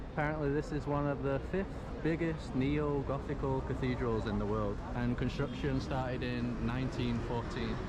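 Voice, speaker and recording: Noticeable background noise and audible room echo surround a man. He talks at a moderate pace with very even loudness. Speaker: travel vlogger. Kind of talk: travel vlog narration.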